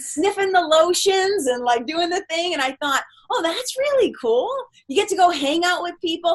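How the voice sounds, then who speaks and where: A woman speaks with a Boston accent in an animated tone at a moderate pace. Her extremely high voice moves in very wide pitch swings. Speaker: spiritual mentor. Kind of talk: casual chat.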